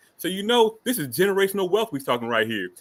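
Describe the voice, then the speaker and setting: Recorded very cleanly against a silent background, a man's bright, sharp voice shows vocal fry and very wide pitch swings. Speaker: podcast guest advocate. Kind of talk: debate argument. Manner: fast; animated.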